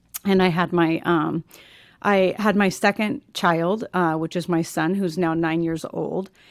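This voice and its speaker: Recorded very cleanly over a silent background, a woman speaks fairly slowly with a fairly low pitch and fairly even intonation. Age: 40s. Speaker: podcast host, guest. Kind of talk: casual interview. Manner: hesitant, many fillers.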